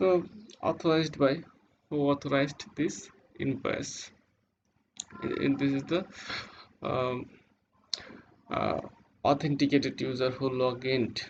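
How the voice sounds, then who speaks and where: A man with a non-native accent at a fairly high pitch, speaking at a fairly slow pace with fairly even intonation and long, frequent pauses. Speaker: web developer. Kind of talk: tutorial. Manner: halting.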